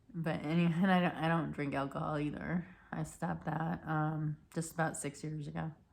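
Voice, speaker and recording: A woman with a very deep, low pitch speaks at a moderate pace in a monotone, flat intonation with vocal fry. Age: 50s. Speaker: vlogger sharing personal mental health story. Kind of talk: personal testimony. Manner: halting, many restarts and fillers.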